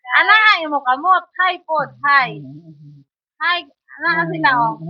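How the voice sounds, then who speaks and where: Her pitch high, a woman speaks fairly slowly with lively intonation. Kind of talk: casual talk to camera. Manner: coaxing, patient questioning.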